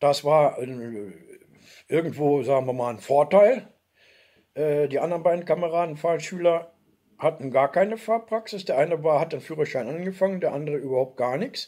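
At a moderate pace, a man speaks in a fairly high voice with a dark, mellow tone. His intonation is lively. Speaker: video blogger, former soldier; video blogger. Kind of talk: personal storytelling monologue. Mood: warm, nostalgic. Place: home room. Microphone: webcam.

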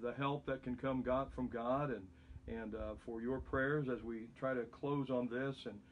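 A man talks at a fairly slow pace with fairly even intonation. Light background noise can be heard. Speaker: pastor. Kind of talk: bible study teaching. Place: home room. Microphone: phone near.

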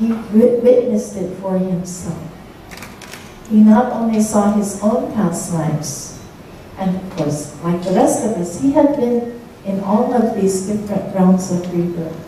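A woman with an American accent speaks at a fairly slow pace, medium in pitch with ordinary pitch variation. Strong room echo surrounds her, along with light background noise. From United States. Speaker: Buddhist nun teacher. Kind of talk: Dharma talk to audience. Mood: calm, earnest teaching. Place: hall.

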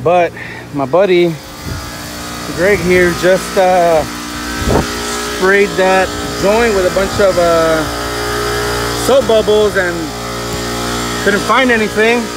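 The speech moves at a very slow pace. The sound is dry with no echo, and there is noticeable background noise. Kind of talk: casual work vlog narration. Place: workshop. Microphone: phone near.

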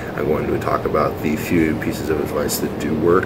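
A man's voice against loud background noise. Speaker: fitness vlogger. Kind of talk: casual vlog chat. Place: gym. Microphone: phone near.

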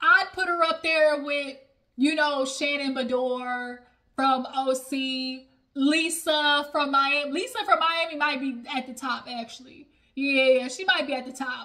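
A woman's raised, projected voice, bright and sharp in tone, at a fairly slow pace with ordinary pitch variation and big swings in loudness, over a quiet background. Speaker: reality TV review vlogger. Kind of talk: casual vlog chat. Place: home room. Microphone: phone near.

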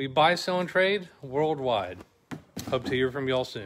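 Over light background noise, a man talks at a fairly slow pace with lively intonation and a bright, sharp tone. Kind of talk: casual promotional vlog chat. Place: shop. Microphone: phone near.

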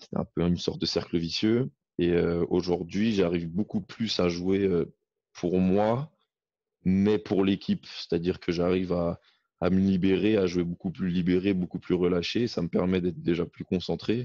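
A man's very deep, low voice carries a dark, mellow tone and fairly even intonation. The background is quiet and the sound is dry with no echo. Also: moderate pace. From France. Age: 20s. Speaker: football player and student. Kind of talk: casual interview. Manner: hesitant, with many repetitions. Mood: calm, reflective. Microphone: video call.

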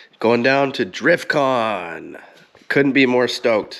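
The speaker is a man. He talks at a very slow pace. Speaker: car owner vlogger. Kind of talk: casual vlog chat. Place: garage. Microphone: phone near.

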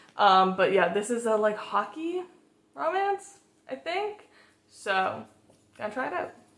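Very wide pitch swings and long, frequent pauses come at a fairly slow pace, with audible room echo around the voice. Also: woman, fairly high pitch for a woman. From Massachusetts, US. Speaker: book vlogger. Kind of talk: casual vlog talk. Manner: casual, filler-heavy. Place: home room.

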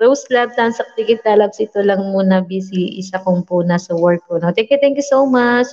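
A woman speaks at a moderate pace with ordinary pitch variation and hardly any pauses, against a quiet background. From Visayas, Philippines. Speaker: livestream vlogger hosting giveaway games; livestream host. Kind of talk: casual livestream chat reading viewer names. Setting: live stream. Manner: animated. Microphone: studio mic.

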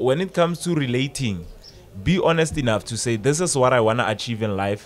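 A man speaks with a South African accent. His pace is moderate. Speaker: radio presenter and life coach; radio presenter, life coach. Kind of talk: casual podcast chat. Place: studio. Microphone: studio mic.

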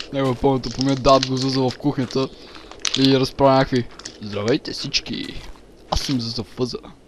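Flat, monotone intonation from a man, with long, frequent pauses and noticeable background noise. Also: moderate pace. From Bulgaria. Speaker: gaming YouTuber. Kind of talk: casual chat.

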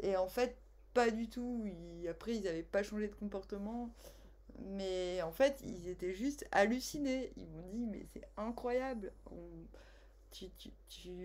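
A woman's very slow speech, with long, frequent pauses and big swings in loudness. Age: 40s. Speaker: tarot card reader. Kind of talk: casual personal storytelling; tarot reading monologue. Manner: animated; hesitant with fillers. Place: home room. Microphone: webcam.

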